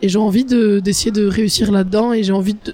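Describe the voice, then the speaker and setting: Noticeable background noise fills the recording. The words come at a fairly quick pace. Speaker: board game influencer and jury member. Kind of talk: interview. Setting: game festival.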